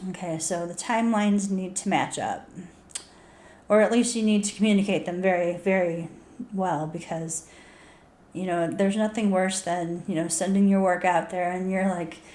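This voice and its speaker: A dark, mellow tone carries fairly even intonation through audible room echo. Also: woman, medium pitch for a woman, moderate pace. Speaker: author and video blogger. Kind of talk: casual tips talk to camera. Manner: halting, repeats words.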